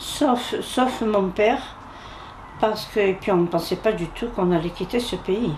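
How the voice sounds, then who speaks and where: Against noticeable background noise, the speech moves at a fairly slow pace with ordinary pitch variation. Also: woman. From Algeria (Algiers, Bab El Oued). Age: 80s+. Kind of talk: interview testimony. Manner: halting.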